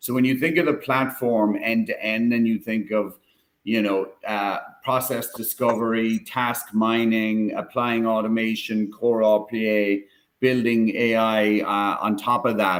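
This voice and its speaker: A man's medium-pitched voice keeps a fairly even intonation while he speaks at a fairly slow pace. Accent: Irish. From Ireland, Cork. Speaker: tech company executive. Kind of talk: live stream panel discussion.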